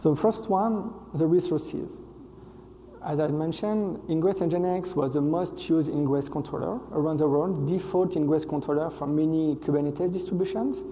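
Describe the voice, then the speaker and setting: Moderate pace, ordinary pitch variation and a French accent, with audible room echo. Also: man, fairly high pitch for a man. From France. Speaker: software engineer, conference speaker. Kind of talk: conference talk. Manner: hesitant, frequent fillers.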